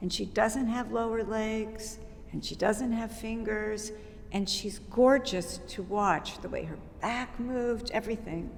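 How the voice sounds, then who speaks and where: Fairly high-pitched, a woman speaks at a fairly slow pace with fairly even intonation, and the room echo is audible. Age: 60s. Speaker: dance company founder and choreographer. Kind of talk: interview.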